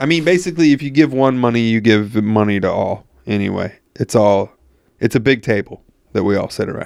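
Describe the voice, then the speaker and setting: This man has a plain, everyday voice at medium pitch. He talks at a fairly quick pace. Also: lively intonation. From New York. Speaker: podcast host. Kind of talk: casual chat. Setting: crossover podcast interview.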